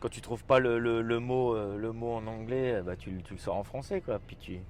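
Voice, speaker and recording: A man talks at a moderate pace with a medium pitch. His loudness swings widely, while his pitch variation stays ordinary. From France. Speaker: chef. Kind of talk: casual interview. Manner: halting, many fillers.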